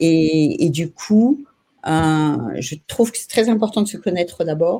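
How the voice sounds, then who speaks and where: Fairly slow in pace, the voice carries a dark, mellow tone. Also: woman. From New Caledonia. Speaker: caller. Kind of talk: casual chat. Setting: video call from Australia.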